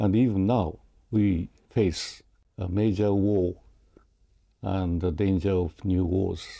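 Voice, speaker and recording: Very deep and low in pitch, a man speaks in a dark, mellow tone. He goes very slowly, with long, frequent pauses. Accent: Japanese. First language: Japanese. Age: 90s. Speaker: peace activist and writer. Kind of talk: interview. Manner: halting.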